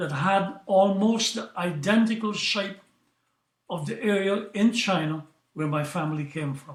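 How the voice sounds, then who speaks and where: A man speaks at a fairly slow pace in a high pitch. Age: 80s+. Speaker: qigong grandmaster. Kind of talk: interview storytelling.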